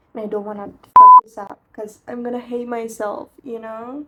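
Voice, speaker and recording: Ordinary pitch variation and a moderate pace from a female speaker. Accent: Persian. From Iran. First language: Persian. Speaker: vlogger. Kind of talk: casual vlog monologue. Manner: animated.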